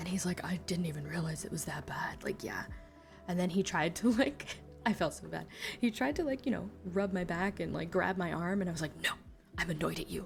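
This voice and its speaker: The speech moves at a fairly quick pace, with music playing in the background. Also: woman. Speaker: VTuber streamer. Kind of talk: casual live stream chatter while reading stories. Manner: casual, expressive, swears freely.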